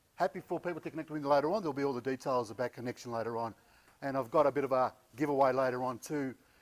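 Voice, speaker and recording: An Australian accent comes from a man speaking at a medium pitch. He talks at a very fast pace with ordinary pitch variation. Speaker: conference speaker, learning consultant. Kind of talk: conference presentation. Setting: stage with live audience, no microphone. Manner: casual, with frequent hesitations.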